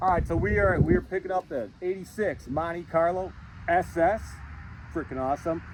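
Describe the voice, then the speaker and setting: Noticeable background noise sits behind a man talking at a moderate pace. His pitch is high, with ordinary variation. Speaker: car buyer starting a dirt track racing series. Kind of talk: video intro to camera. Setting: outdoors in a field. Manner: halting, stuttering.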